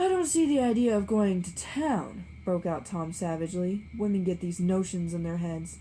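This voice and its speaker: A woman's fairly low, somewhat breathy voice, dark and mellow in tone, at a moderate pace with audible room echo. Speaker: book reader. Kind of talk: reading aloud.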